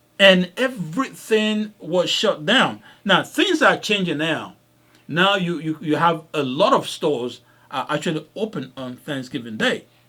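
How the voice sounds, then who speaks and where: On a very clean recording with a silent background, a man talks at a fairly slow pace with high pitch and very wide pitch swings. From Africa. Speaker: podcast host, doctor. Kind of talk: casual podcast storytelling. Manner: repetitive, halting with restarts.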